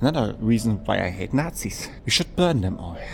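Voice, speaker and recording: A man talks with a German accent. Noticeable background noise runs behind him. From Germany. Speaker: gaming and history youtuber. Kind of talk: casual travel vlog; scripted narration. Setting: outdoors.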